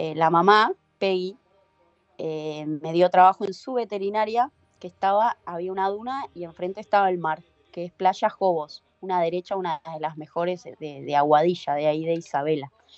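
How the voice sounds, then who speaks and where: Music plays in the background as a woman with a fairly low pitch talks at a moderate pace, her pitch varying in an ordinary way and her loudness swinging widely. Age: 30s. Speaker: professional surfer. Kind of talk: casual interview.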